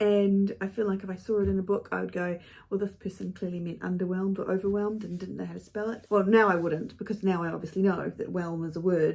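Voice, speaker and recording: A woman talks with a New Zealand accent at medium pitch. Her intonation stays fairly even. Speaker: author and video blogger. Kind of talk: casual chat to camera. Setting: home studio. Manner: chatty, with fillers and self-corrections.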